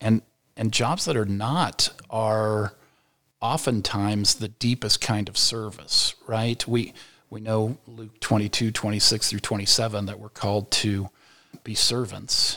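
In a very clean recording with a silent background, a man speaks at a fairly slow pace in a fairly low, bright, sharp voice with fairly even intonation and big swings in loudness. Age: 50s. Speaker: educator and author. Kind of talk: casual interview. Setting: studio.

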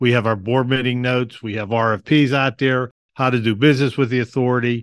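In a Western Pennsylvania accent, a man speaks at medium pitch with monotone, flat intonation. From Pittsburgh, Pennsylvania. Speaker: parking authority executive director. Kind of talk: interview.

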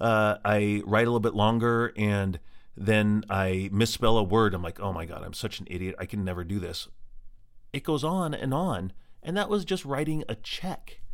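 A plain, everyday voice with an American accent moves at a moderate pace with lively intonation. The recording is very clean, with a silent background. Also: man, fairly low pitch for a man. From Colorado. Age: 40s. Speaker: podcast host living with MS. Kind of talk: personal monologue.

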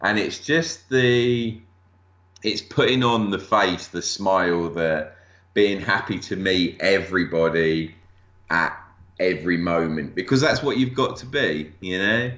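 A man with an English accent, a fairly low pitch and lively intonation. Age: 40s. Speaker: toy collector and display accessory maker. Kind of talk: casual interview.

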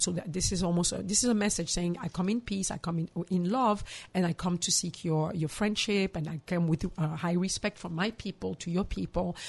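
Somewhat breathy, a woman talks at a fairly quick pace with hardly any pauses. Her pitch is medium, with ordinary variation. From DR Congo, Kinshasa. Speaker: psychologist and mental health counselor. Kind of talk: interview.

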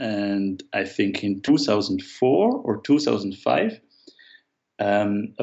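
With an Austrian accent, a man speaks at a fairly low pitch. His pitch variation is ordinary. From Austria, Vienna. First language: German. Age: 30s. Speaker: illustrator. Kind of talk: casual interview. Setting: remote call.

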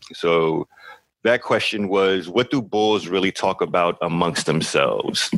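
A man with a normal speaking voice talks at a fairly slow pace and fairly low pitch, with ordinary pitch variation and very even loudness. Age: 40s. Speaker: podcast host. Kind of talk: live podcast Q&A. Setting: studio.

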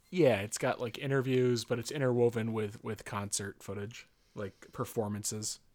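A man speaks in a plain, everyday voice, pitched in the medium range. His pace is moderate and his intonation fairly even. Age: 30s. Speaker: podcast co-host. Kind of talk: casual chat.

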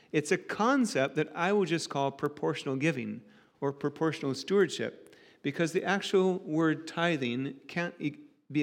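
A man with a plain, everyday voice and an American accent talks at a moderate pace, fairly high in pitch with ordinary pitch variation, on a very clean recording with a silent background. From United States, rural farm background. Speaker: preacher. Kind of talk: sermon.

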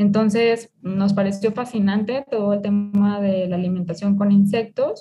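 Somewhat breathy, a woman talks at a fairly slow pace in a dark, mellow tone with monotone, flat intonation. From Mexico, Jalisco (El Grullo). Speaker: food engineer and entrepreneur. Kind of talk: interview. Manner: hesitant, with fillers.

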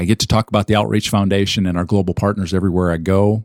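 A plain, everyday voice, a man with an American accent speaks at a fairly low pitch with fairly even intonation, the sound dry and close with no echo on a very clean recording with a silent background. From US Midwest (Minnesota), later Arizona. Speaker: pastor and nonprofit fundraising director. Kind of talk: interview.

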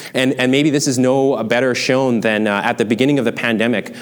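There is noticeable background noise as a man talks in a Canadian accent. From Canada, small town. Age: 30s. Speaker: pastor. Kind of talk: sermon.

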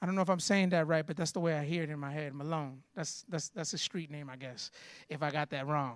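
In a plain, everyday voice, a man with an American accent talks at a fairly high pitch with ordinary pitch variation, on a very clean recording with a silent background. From Florida. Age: 30s. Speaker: pastor. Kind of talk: sermon.

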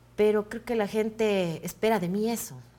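This is a woman with an ordinary speaking voice. She keeps a moderate pace and ordinary pitch variation. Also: very clean recording, silent background. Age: 40s. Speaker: actress and comedian. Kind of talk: interview.

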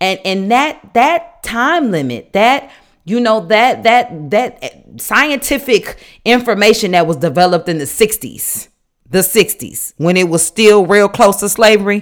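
Very wide pitch swings mark a woman's medium-pitched voice on a very clean recording with a silent background. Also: fairly slow pace. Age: 30s. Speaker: podcast host and nurse. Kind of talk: casual solo podcast talk on faith and life. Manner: conversational with frequent fillers.

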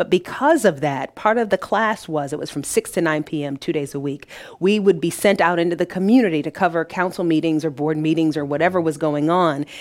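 A woman's fairly quick, fairly low-pitched voice in an American accent, a plain, everyday voice with ordinary pitch variation and hardly any pauses. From Detroit, US Midwest. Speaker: business owner and freelance broadcaster. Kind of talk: interview conversation.

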